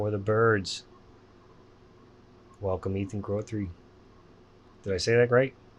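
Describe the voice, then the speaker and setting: A man with a slight central Pennsylvania accent speaks in a fairly low pitch and fairly even intonation, taking long, frequent pauses. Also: fairly slow pace. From Pennsylvania, Lebanon. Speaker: podcast host. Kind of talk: casual chat.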